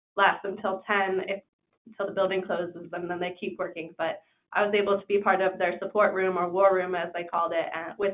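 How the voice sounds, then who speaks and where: A woman with an American accent talks at a fairly quick pace in monotone, flat intonation. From Chicago suburbs, US Midwest. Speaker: partner of an MBA student, admissions staff. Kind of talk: webinar panel talk. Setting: online webinar.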